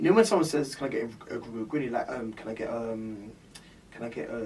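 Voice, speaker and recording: Over noticeable background noise, a man at a medium pitch speaks with big swings in loudness. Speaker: bartender podcast co-host. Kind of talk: casual chat. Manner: halting.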